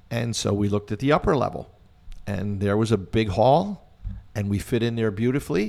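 A normal speaking voice with an American accent, a moderate pace, and ordinary pitch variation. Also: man. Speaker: community band conductor. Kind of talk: interview, reminiscing.

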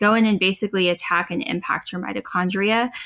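A woman with an American accent has a normal speaking voice at a medium pitch, speaking at a moderate pace with fairly even intonation. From Texas panhandle. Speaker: dietitian. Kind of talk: casual chat.

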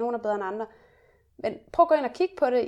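This woman's voice sits at a fairly high pitch, recorded very cleanly against a silent background. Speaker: podcast co-host. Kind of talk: casual chat. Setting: hotel room. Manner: energetic.

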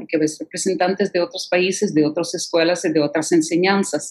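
A woman speaks at a moderate pace with ordinary pitch variation over noticeable background noise. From Ukraine (Kherson, Odessa). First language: Russian (speaking Spanish). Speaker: concert pianist and piano professor. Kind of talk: interview.

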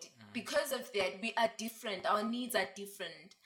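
Her pitch fairly high and her intonation fairly even, a woman speaks at a moderate pace against noticeable background noise. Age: 20s. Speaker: feminism discussion guest. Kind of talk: casual chat.

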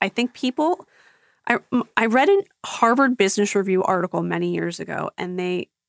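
A woman talks at a fairly quick pace with medium pitch and ordinary pitch variation, in a plain, everyday voice. The sound is dry and close with no echo. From Philadelphia. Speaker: reality TV podcast host. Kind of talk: casual chat.

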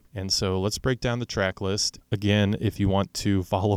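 A man with an American accent, very deep and low in pitch, at a fairly quick pace with fairly even intonation, on a very clean recording with a silent background. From Oklahoma City, US. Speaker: podcast host, music enthusiast. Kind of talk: solo monologue about music playlist.

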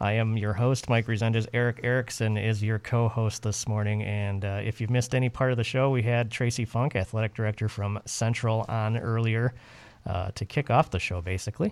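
A man with a plain, everyday voice at a fairly quick pace, on a very clean recording with a silent background. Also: medium pitch for a man. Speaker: radio host. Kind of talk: radio DJ patter: station ID, time check, show promo. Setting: radio studio. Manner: warm, brisk, upbeat, announcer-style.

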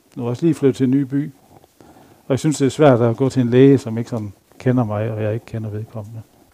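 A man with a dark, mellow tone talks at a medium pitch and a very fast pace. His speech is broken by long, frequent pauses. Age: 50s. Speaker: lay preacher. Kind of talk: sermon. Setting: church.

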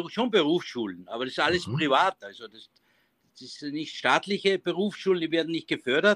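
A man with a high pitch and a bright, sharp tone speaks with lively intonation, the sound dry and close with no echo. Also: big swings in loudness. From Austria, Innviertel (Upper Austria). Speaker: baker and business owner. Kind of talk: interview. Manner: halting.

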